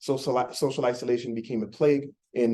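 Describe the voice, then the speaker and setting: A man in a French accent with medium pitch and a dark, mellow tone at a very fast pace. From Quebec, Montreal. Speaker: startup founder. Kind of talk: pitch presentation. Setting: meeting room with audience.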